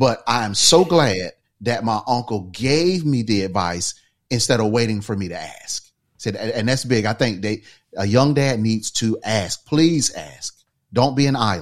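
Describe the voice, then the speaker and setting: A man talks at a moderate pace with lively intonation. The recording is very clean, its background silent. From US South, rural eastern North Carolina. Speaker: entrepreneur and father. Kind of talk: casual interview chat.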